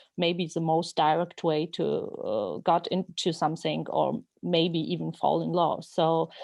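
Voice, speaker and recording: A woman with a Georgian accent at a fairly slow pace, with hardly any pauses. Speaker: novelist. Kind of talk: interview. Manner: halting.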